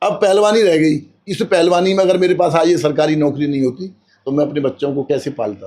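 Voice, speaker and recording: Using a dark, mellow tone, a man with a fairly high pitch speaks at a moderate pace with ordinary pitch variation. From Braj region, Uttar Pradesh, India. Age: 60s. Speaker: retired wrestler. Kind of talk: interview.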